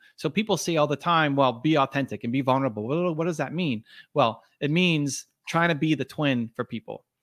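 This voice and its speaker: On a very clean recording with a silent background and a dry, close sound with no echo, a man speaks fairly quickly at a fairly high pitch in a plain, everyday voice. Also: ordinary pitch variation. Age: 40s. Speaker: entrepreneur and author. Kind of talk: interview.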